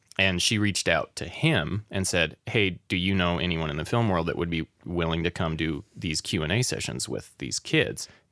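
In an American accent, a man with a very deep, low pitch, vocal fry and a bright, sharp tone speaks at a moderate pace with ordinary pitch variation and hardly any pauses, on a very clean, silent-background recording with a dry, close sound and no echo. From Wyoming, US. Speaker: audio engineer. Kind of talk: casual interview chat. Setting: studio.

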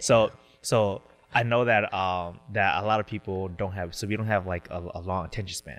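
On a very clean recording with a silent background, a man with a Southeast Asian accent speaks in a fairly low voice with fairly even intonation. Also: moderate pace. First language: Hmong. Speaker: public speaker and dancer. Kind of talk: casual chat.

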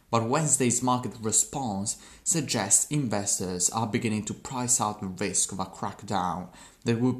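Against a quiet background, a man with a non-native accent speaks at a fairly low pitch with ordinary pitch variation. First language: not English. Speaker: podcaster practicing English. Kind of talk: reading aloud. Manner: halting.

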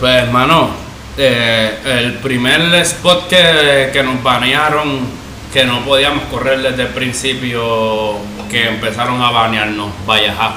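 A man with a medium-pitched voice speaks at a very slow pace with ordinary pitch variation. Audible room echo and noticeable background noise surround him. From Puerto Rico, Caguas. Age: 30s. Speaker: skateboarder. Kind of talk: casual chat. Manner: halting, repeats words.

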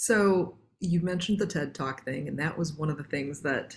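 Somewhat breathy, a woman speaks at a moderate pace with ordinary pitch variation. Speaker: podcast host and business coach. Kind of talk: interview conversation with scripted intro.

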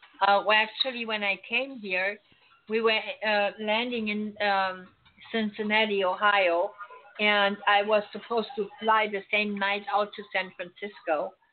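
A woman with a German accent speaks at a fairly slow pace. Her medium pitch stays in a monotone, flat intonation. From Germany, Berlin. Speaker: psychic medium. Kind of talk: radio interview.

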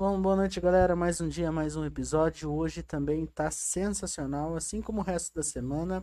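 In a very clean recording with a silent background, a woman with a dark, mellow tone talks at a moderate pace in a fairly low pitch, using ordinary pitch variation. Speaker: podcast producer and co-host. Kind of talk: show announcements.

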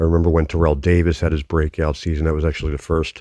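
A man with an American accent speaks at a very fast pace in a very deep, low pitch and a flat monotone. The recording is very clean, with a silent background. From Philadelphia. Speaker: fantasy football league commissioner and podcast host. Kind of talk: casual solo podcast monologue.

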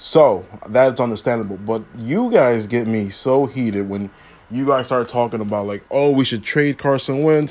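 With an American accent, a man talks in an unremarkable speaking voice at a medium pitch, a moderate pace and ordinary pitch variation. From Philadelphia, US. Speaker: sports podcast host. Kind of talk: solo sports commentary podcast. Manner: casual, many fillers.

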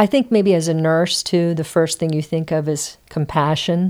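A woman with a normal speaking voice, fairly low in pitch, at a fairly slow pace with ordinary pitch variation, in a very clean recording over a silent background. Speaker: nurse and singer-songwriter. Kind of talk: personal conversation.

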